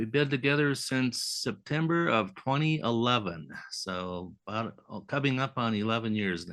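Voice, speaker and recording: Over a quiet background, the speaker moves at a moderate pace with lively intonation and hardly any pauses. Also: man, medium pitch for a man. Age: 60s. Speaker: retiree. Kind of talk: podcast interview.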